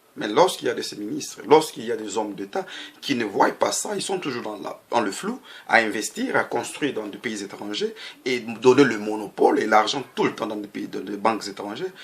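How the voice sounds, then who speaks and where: Here a man speaks with a Congolese accent. His pace is fairly quick. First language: Lingala (speaking French). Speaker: political activist. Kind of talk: political monologue. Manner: halting.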